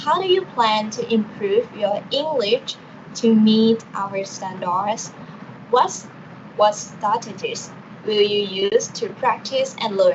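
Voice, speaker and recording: Speaking in a Thai accent, a woman has a fairly high pitch with ordinary variation. Her pace is very slow, and noticeable background noise runs beneath her. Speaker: university student, mock interviewer. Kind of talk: role-play job interview.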